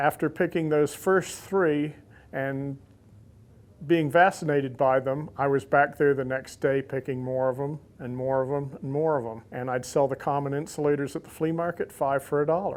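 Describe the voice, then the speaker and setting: Using an unremarkable speaking voice, a man talks at a moderate pace, fairly high in pitch and with fairly even intonation. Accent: American. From US South, Central Florida (Lakeland). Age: 60s. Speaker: insulator collector. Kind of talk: interview monologue.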